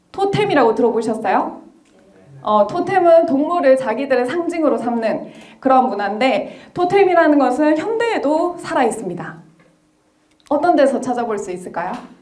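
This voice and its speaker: A woman with a high pitch speaks with very wide pitch swings amid audible room echo. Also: moderate pace. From South Korea. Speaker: history lecturer. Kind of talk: lecture. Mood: friendly, smiling. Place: hall. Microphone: handheld.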